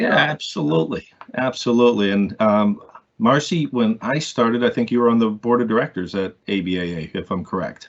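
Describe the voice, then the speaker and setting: This man's delivery moves at a fairly quick clip. The melody of his speech is lively. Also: medium pitch for a man. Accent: Maine. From US Northeast, Maine. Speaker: building industry association board member. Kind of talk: casual interview.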